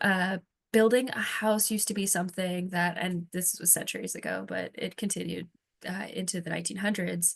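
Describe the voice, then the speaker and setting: A woman with vocal fry, monotone, flat intonation, and a fairly quick pace. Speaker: presenter on housing collaboration. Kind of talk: presentation.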